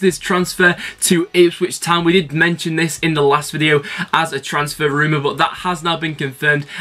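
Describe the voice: His bright, sharp tone comes at a fairly high pitch as the man speaks at a fairly quick pace.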